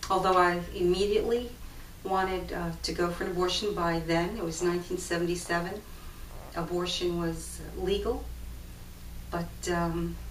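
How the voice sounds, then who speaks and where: A woman at a moderate pace with long, frequent pauses, in audible room echo and noticeable background noise. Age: 60s. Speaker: testimony speaker. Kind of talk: testimony. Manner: halting.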